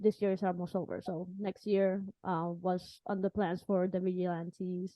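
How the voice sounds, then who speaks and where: With a Spanish accent, a woman talks at a moderate pace in a medium-pitched voice. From Puerto Rico. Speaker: podcast host. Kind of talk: interview.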